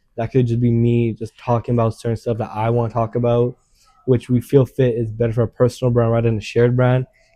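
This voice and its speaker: A man's mumbling at a very fast pace, medium in pitch, in a monotone, flat intonation. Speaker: YouTuber. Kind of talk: casual chat.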